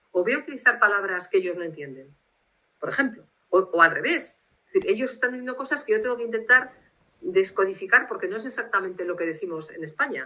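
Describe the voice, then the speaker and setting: Speaking very fast with a Basque accent, a woman uses a fairly high pitch and a bright, sharp tone. Her pitch swings very widely and her loudness rises and falls in big swings. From Spain, Bilbao (Basque Country). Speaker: literary translator. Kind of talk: interview. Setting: video call. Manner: formal.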